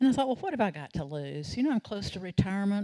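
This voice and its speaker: In a Southern US accent, a woman's voice swings very widely in pitch over a very clean recording with a silent background. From US South, North Carolina (Salisbury). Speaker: storyteller. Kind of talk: storytelling performance. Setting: stage with audience.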